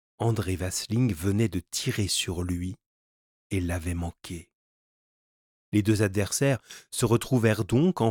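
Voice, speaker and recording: Over a very clean recording with a silent background, dry and close with no echo, a man with a fairly low pitch and ordinary pitch variation speaks with long, frequent pauses. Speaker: audiobook narrator. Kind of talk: dramatic narration of an adventure novel, reading aloud. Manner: animated, tense, urgent pacing in fight scenes.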